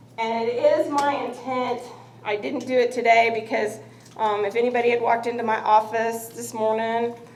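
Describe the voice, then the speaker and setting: There is noticeable background noise and audible room echo. A woman speaks at a high pitch and a moderate pace. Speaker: college physics instructor. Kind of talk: classroom lecture.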